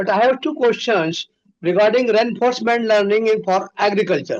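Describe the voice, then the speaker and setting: Speaking at a fairly quick pace, the man has a high pitch and ordinary pitch variation. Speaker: training participant asking questions. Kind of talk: Q&A in online training session. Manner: loud; repetitive, halting.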